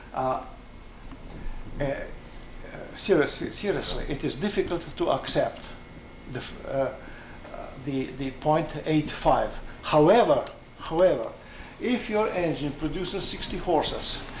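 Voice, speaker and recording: A man with a non-native accent and a high pitch, fairly slow with long, frequent pauses and ordinary pitch variation, amid noticeable background noise and audible room echo. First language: not English. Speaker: aircraft designer. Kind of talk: technical conversation. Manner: halting.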